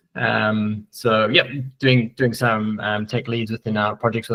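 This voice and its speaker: A man in a South African accent at a moderate pace. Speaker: software tech lead. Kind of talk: conference presentation. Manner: hesitant, many fillers.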